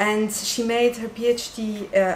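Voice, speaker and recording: A woman with a non-native accent, audible room echo and noticeable background noise. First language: French. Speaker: doctoral researcher and event organizer. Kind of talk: conference introduction. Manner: hesitant, many fillers.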